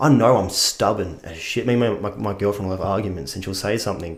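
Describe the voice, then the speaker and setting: Someone with an Australian accent speaks at a very fast pace amid audible room echo and noticeable background noise. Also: man. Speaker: actor. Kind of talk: casual chat.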